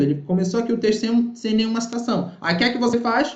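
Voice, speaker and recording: A high-pitched male voice with lively intonation and audible room echo. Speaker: university professor. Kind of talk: online workshop lecture. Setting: live online session with chat. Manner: fast.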